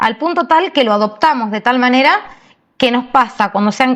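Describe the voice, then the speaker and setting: Fairly quick speech in a Rioplatense accent, with ordinary pitch variation. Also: woman. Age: 40s. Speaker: podcast co-host. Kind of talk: casual chat.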